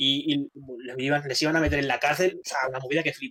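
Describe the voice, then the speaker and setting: Here is a man with an unremarkable speaking voice and a fairly high pitch. His intonation is fairly even. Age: 30s. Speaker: gaming podcast co-host. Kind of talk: casual chat.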